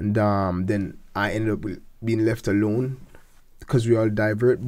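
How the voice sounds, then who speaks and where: A man's dark, mellow tone at a fairly slow pace over a quiet background. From Jamaica, north coast (Falmouth); Jamaica. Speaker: gospel singer and seminary student; interviewee. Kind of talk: interview. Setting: studio. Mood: warm, reflective. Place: studio. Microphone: studio mic.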